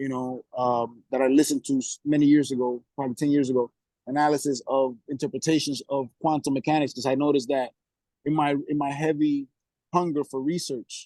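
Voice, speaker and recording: Fairly quick delivery from a man with a fairly high pitch and a dark, mellow tone, in a dry, close sound with no echo and a quiet background. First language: Spanish. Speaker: guest on discussion call. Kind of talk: casual chat. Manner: halting, many repetitions and false starts; animated.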